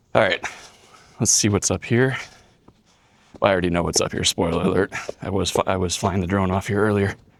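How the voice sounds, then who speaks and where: A man with an American accent and a fairly low pitch talks at a very fast pace with fairly even intonation and long, frequent pauses. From US Midwest, southern Wisconsin. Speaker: travel vlogger. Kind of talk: casual vlog narration while walking. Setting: outdoors at castle ruin. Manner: casual, conversational.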